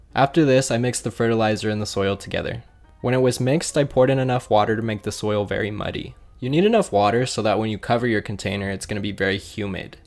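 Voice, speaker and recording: A man with a medium-pitched voice talks very fast, his pitch moving in an ordinary way, as music plays in the background. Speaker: aquarium hobbyist YouTuber. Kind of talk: tutorial voiceover. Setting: voiceover recording.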